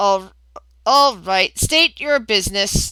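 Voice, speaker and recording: Robotic and fairly slow, the put-on character voice plods along. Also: woman, medium pitch for a woman. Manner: curt, officious.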